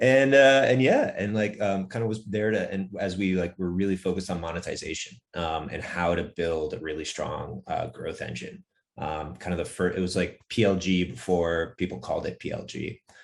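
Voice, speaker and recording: In an American accent, the speaker talks at a moderate pace with ordinary pitch variation. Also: man, very deep, low pitch for a man. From US Northeast. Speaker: startup founder and CEO. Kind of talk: podcast interview. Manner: many filler words, hesitant restarts.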